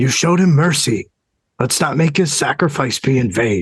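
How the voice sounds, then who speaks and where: Using a raspy, put-on character voice, a man speaks at medium pitch and a moderate pace. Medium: read story. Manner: terse, guarded.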